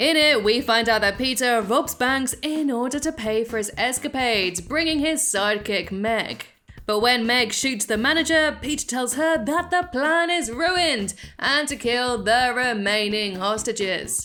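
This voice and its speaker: The speaker has a British accent and lively intonation, moving at a fairly slow pace. Music plays in the background. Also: woman, high pitch for a woman. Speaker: YouTube commentator. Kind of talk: scripted narration.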